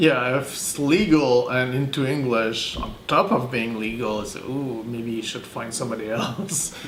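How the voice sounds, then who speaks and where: In a Quebec accent, the speaker goes at a fairly slow pace with hardly any pauses, ordinary pitch variation and big swings in loudness, amid audible room echo and noticeable background noise. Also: man, medium pitch for a man. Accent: French Canadian accent in English. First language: French. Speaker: translator. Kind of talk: interview. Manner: halting, many fillers.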